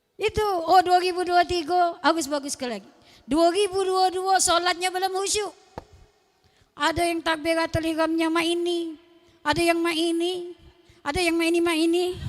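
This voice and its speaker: A woman speaks at an extremely high pitch with a Palembang accent. Her tone is animated, and her pace is moderate. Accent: Palembang Malay-accented Indonesian. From Palembang, South Sumatra, Indonesia. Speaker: Islamic preacher. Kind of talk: sermon.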